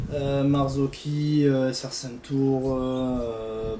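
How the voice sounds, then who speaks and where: A man speaks at medium pitch in a monotone, flat intonation. Audible room echo and noticeable background noise are present. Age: 20s. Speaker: suspension mechanic. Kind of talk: casual interview. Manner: hesitant, many fillers.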